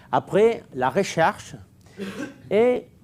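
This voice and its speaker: A man talks with lively intonation. He has a non-native accent. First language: Catalan or Spanish (speaking French). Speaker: underwater archaeologist. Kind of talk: lecture. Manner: slow, deliberate; halting, many hesitations.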